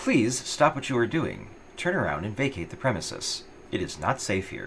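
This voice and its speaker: Amid clear background noise, a man puts on a robotic character voice at a medium pitch and a moderate pace. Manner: flat, commanding.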